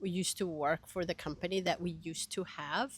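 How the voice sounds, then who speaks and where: In a very clean recording with a silent background, a woman speaks in a Spanish accent, her fairly low pitch showing ordinary variation. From Venezuela (Caracas). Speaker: education coordinator and language teacher. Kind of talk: interview.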